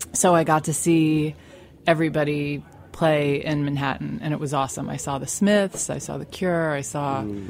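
The speaker talks at a moderate pace with ordinary pitch variation and an American accent. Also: woman, very deep, low pitch for a woman. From Staten Island, New York. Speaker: magazine founder. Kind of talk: casual chat. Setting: studio.

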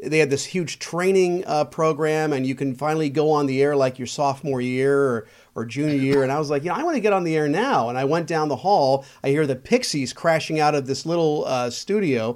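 Man with a plain, everyday voice, fairly high in pitch, ordinary pitch variation, a fairly quick pace and hardly any pauses. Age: 50s. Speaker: local politician and former radio DJ. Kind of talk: casual chat.

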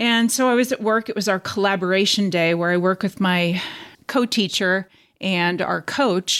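A woman talks in a plain, everyday voice at medium pitch and a moderate pace. Her pitch varies in an ordinary way, her loudness stays very even, and the recording is very clean with a silent background. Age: 50s. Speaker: transplant survivor, teacher. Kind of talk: interview testimony.

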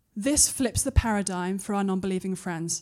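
A woman's medium-pitched voice with an English accent and ordinary pitch variation. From UK. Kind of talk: conference talk; audience Q&A. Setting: stage with audience.

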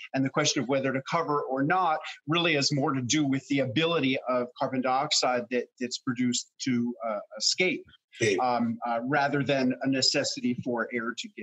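This man has a plain, everyday voice with a fairly high pitch. His intonation stays fairly even at a moderate pace. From New York City. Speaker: fermentation author and teacher. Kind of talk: casual interview. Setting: video call.

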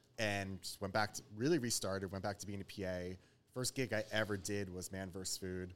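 With an unremarkable speaking voice, a man talks at a moderate pace in a fairly low pitch, his intonation fairly even. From New York (Westchester). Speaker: food influencer. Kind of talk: casual chat.

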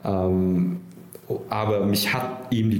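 Fairly even intonation amid audible room echo and noticeable background noise. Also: man. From Nuremberg, Franconia (Vietnam until age 9). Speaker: startup founder and CEO. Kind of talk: interview. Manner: hesitant, many fillers.

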